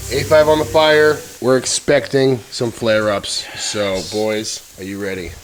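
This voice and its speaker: Amid noticeable background noise, a man speaks fairly slowly at a medium pitch in an animated tone with lively intonation. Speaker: BBQ YouTuber. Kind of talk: casual cooking vlog. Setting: castle fireplace, indoors.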